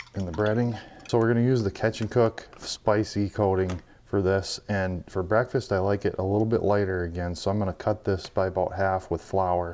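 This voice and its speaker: A quiet man's voice, fairly low in pitch, at a moderate pace over noticeable background noise. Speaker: fishing video creator. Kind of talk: tutorial. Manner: quiet, lowered voice.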